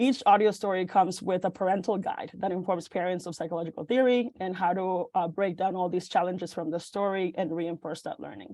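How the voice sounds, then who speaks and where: With a Spanish accent, a woman talks at a fairly quick clip with hardly any pauses, her medium-pitched voice dark and mellow and her intonation fairly even. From Mexico, moved to Illinois at about eleven. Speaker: venture fellow, startup pitch presenter. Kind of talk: startup pitch presentation. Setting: video call. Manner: halting, many fillers.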